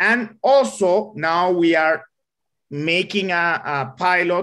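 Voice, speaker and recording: Lively intonation from a man with a bright, sharp tone in a Spanish accent. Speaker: engineer. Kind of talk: Q&A answer in online talk. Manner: halting.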